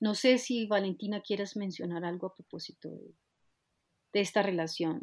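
A woman speaks at a moderate pace in an ordinary speaking voice, medium in pitch with ordinary pitch variation. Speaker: podcast host, dance researcher. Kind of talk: interview conversation.

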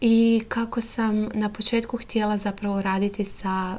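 Her voice sits fairly high. The woman's intonation stays fairly even. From Croatia, Lošinj island. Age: 30s. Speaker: psychotherapist. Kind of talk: podcast monologue.

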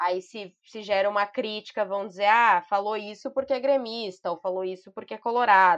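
Against a quiet background, a woman with a normal speaking voice talks at a moderate pace with ordinary pitch variation. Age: 20s. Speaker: journalist and political communications adviser. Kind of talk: podcast interview.

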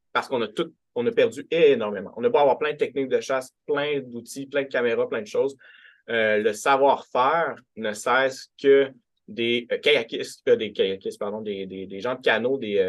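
A man's medium-pitched voice, an ordinary speaking voice, with ordinary pitch variation and a moderate pace. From rural Quebec. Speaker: writer and literature professor. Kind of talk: academic talk.

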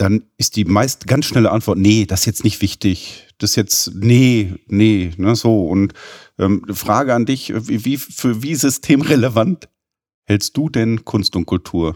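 The sound is dry and close, with no echo. The pace is very slow. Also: man, fairly low pitch for a man, ordinary pitch variation. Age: 50s. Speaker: podcast host, business development director. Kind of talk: interview.

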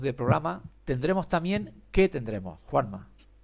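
A man talks at a moderate pace with vocal fry. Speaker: podcast host. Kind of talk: casual chat.

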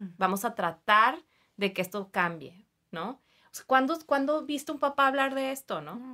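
On a very clean recording with a silent background, a woman speaks high in pitch with a bright, sharp tone, very wide pitch swings and big swings in loudness. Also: moderate pace. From Mexicali, Baja California, Mexico. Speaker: clinical psychologist. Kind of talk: interview. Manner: hesitant fillers.

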